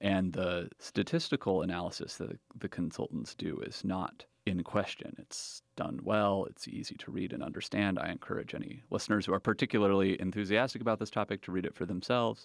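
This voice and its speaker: An ordinary speaking voice from a man, fairly low in pitch with ordinary pitch variation, fairly quick with hardly any pauses, in a dry, close sound with no echo. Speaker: political researcher. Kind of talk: interview.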